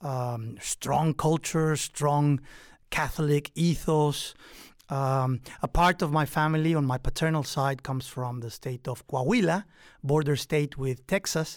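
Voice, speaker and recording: Fairly slow speech in a Mexican accent, in a very clean recording with a silent background. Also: man, fairly high pitch for a man, ordinary pitch variation. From Mexico. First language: Spanish. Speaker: professor and author. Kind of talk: interview about his book. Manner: hesitant, with many fillers.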